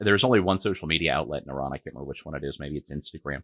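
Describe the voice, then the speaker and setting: A man with a very deep, low pitch and vocal fry, very fast in pace with ordinary pitch variation, in a dry sound with no echo against a quiet background. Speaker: co-host, political commentator. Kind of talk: angry rant. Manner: fiery, sarcastic, indignant, raised-voice. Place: home room. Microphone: video call.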